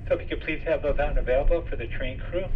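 A man's voice with noticeable background noise. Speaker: train crew announcer. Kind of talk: public announcement. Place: train. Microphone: pa.

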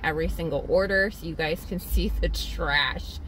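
A woman's voice, dry and echo-free, over light background noise. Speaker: delivery driver vlogger. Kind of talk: casual vlog chat. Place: car. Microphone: phone near.

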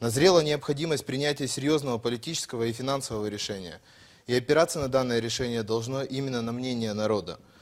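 Speaking very fast, a man keeps a medium pitch and varies it in an ordinary way. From Russian Far East, Primorsky Krai. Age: 20s. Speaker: election candidate. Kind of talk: political debate; debate, prepared program reading. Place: studio. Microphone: lapel.

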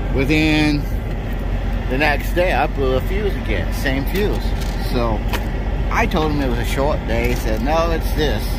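Against loud background noise, a man talks at a fairly slow pace with long, frequent pauses, the sound dry with no echo. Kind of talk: casual vlog chat. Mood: mildly annoyed. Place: street. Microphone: phone near.

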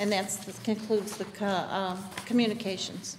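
A woman speaks at a fairly slow pace with light background noise. Her intonation is monotone and flat. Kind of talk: reading meeting minutes and roll call. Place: meeting room.

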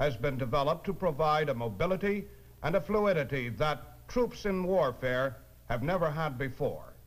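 A man with a normal speaking voice speaks at a moderate pace and fairly high pitch, with lively intonation and very even loudness. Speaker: narrator. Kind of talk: documentary narration. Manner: formal, authoritative.

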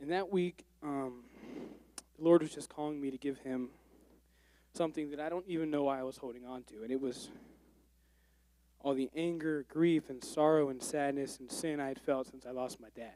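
A man with a fairly high pitch speaks at a moderate pace in a dark, mellow tone. His intonation is fairly even, his loudness swings widely, and the sound is dry with no echo. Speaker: church member giving testimony. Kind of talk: testimony. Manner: halting. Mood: earnest, somewhat nervous. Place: church. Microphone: handheld.

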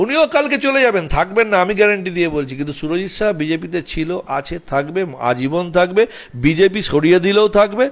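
A man's high-pitched, animated voice with lively intonation. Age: 40s. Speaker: local party politician. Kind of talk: media interview. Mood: critical, assertive. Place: office. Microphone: handheld.

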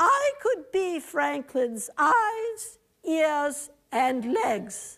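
A woman's put-on character voice, squeaky and extremely high-pitched, with very wide pitch swings and a very slow pace. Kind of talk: first-person historical reenactment. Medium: stage play. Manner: earnest, reflective.

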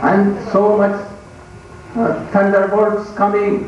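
Strong room echo and light background noise accompany a man speaking very slowly. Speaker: religious teacher. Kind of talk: sermon. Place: stage.

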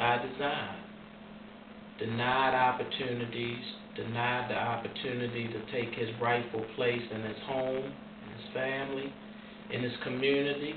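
A man speaks at a medium pitch and a fairly slow pace, with fairly even intonation. Background noise is noticeable. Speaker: formerly incarcerated man. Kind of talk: interview answer. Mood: earnest, serious. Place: home room.

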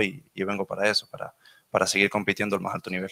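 Against a quiet background, the voice has a bright, sharp tone and a monotone, flat delivery at a very fast pace. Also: man. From Venezuela. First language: Spanish (speaking Portuguese). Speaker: professional footballer. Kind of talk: press conference answers. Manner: halting. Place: meeting room. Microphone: podium.

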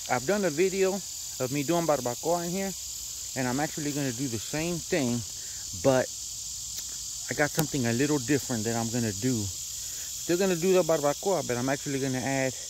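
Noticeable background noise sits under a fairly quick delivery, and the sound is dry with no echo. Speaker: home cook vlogger. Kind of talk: casual vlog chat. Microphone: phone near.

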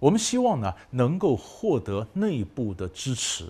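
The voice is somewhat breathy and dark and mellow in tone, with very wide pitch swings. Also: man. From Taiwan. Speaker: professor. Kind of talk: lecture. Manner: conversational, rhetorical questions. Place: studio.

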